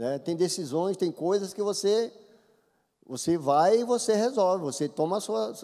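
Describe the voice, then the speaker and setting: This man's intonation is lively and his speed moderate, with a quiet background around him. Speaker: church member. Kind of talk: group discussion comment. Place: church.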